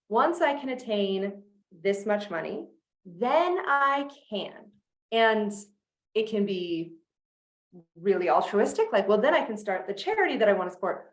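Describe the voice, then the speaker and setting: With lively intonation, a woman talks at a fairly high pitch and fairly slow pace. Long, frequent pauses stand out against audible room echo. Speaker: sales coach. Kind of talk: online masterclass.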